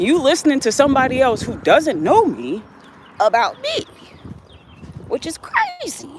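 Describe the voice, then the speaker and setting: At a moderate pace and a high pitch, a woman speaks in a passionate tone with very wide pitch swings and long, frequent pauses over noticeable background noise. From Ohio suburbs, US Midwest. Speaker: livestreamer. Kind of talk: casual livestream chat. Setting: outdoors on a walk. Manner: emphatic, passionate.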